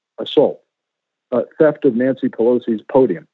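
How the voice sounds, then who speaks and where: An ordinary speaking voice with an American accent, at a moderate pace. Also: man. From US Northeast, western Connecticut. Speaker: former FBI agent and author. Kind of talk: interview.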